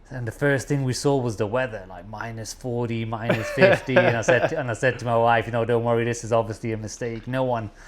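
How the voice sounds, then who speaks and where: Noticeable background noise sits behind a man's very fast speech. His intonation is fairly even, with big swings in loudness. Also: medium pitch for a man, hardly any pauses. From England, East Midlands (Nottingham). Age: 40s. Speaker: businessman. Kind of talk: casual chat.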